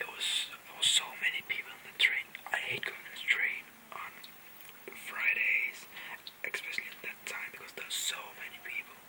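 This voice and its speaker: Whispering at a fairly quick pace, a woman leaves long, frequent pauses and swings widely in loudness. Noticeable background noise can be heard. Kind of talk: casual whispered chat to camera. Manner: whispered.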